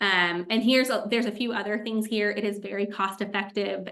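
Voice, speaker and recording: This woman talks at a medium pitch in a monotone with flat intonation. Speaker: agency consultant and AI tools presenter. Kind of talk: webinar presentation. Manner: many filler ums.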